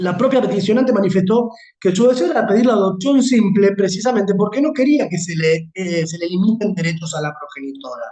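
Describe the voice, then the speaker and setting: A man speaks high in pitch at a fairly quick pace, with lively intonation. His tone is dark and mellow. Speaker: law lecturer. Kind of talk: lecture. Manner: fast.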